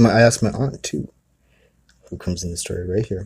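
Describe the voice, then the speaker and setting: The voice has a dark, mellow tone that is somewhat breathy and relaxed, with ordinary pitch variation. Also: man. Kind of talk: retelling a family story in casual storytelling. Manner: conversational, rambling, relaxed with filler words and laughs.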